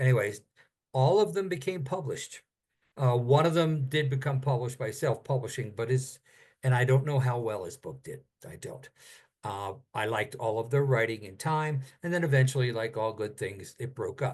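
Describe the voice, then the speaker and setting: A man talks at a moderate pace and medium pitch, with ordinary pitch variation and a somewhat breathy voice. His loudness swings widely against a quiet background. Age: 70s. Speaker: author and critique group teacher. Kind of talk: casual instructional talk on video call. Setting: video call.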